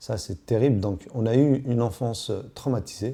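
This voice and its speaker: A man with a dark, mellow tone and a somewhat breathy quality speaks at a medium pitch with ordinary pitch variation. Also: very clean recording, silent background. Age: 40s. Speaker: witness to domestic violence. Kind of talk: testimony. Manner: halting.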